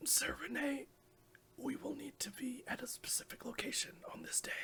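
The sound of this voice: A woman whispers in a put-on character voice. It sounds raspy, at a moderate pace.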